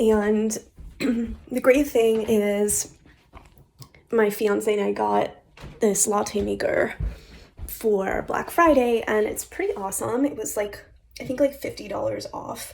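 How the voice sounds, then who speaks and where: Noticeable background noise sits behind a woman's voice. She speaks very slowly, with long, frequent pauses. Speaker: graduate student. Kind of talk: casual vlog talk to camera.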